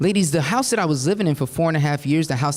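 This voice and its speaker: A man speaks with an American accent at a fairly high pitch. His tone is animated. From New Jersey. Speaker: motivational speaker. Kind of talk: keynote speech. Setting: stage with audience.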